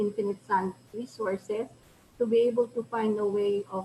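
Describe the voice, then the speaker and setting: A fairly high-pitched woman in a Filipino accent, with fairly even intonation and noticeable background noise. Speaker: professor. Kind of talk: lecture. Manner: halting, many fillers. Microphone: too quiet at first.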